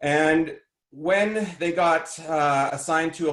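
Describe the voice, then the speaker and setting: Against audible room echo, a man with a fairly high pitch speaks using fairly even intonation. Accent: Canadian. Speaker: emergency management trainer and coach. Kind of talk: conference presentation. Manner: loud.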